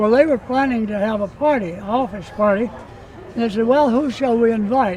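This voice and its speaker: Over noticeable background noise, a man talks at a moderate pace with a high pitch. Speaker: WWII veteran pilot. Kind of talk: interview. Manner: halting, many fillers.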